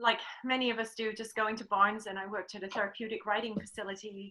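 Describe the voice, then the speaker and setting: With an English accent, a woman talks at a fairly quick pace, her fairly high voice bright and sharp in tone. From England. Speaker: riding clinician. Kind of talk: interview.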